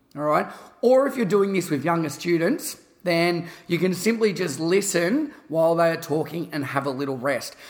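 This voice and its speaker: A man with an Australian accent talks at a moderate pace. His pitch is high, and his intonation is lively. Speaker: podcast host and fitness educator.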